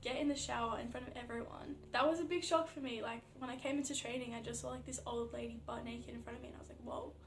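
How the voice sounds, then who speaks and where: With an Australian accent, a woman talks at a fairly quick pace with hardly any pauses and big swings in loudness, heard amid noticeable background noise and audible room echo. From Australia (Melbourne). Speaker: athlete vlogger. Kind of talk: casual vlog. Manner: casual, filler-heavy.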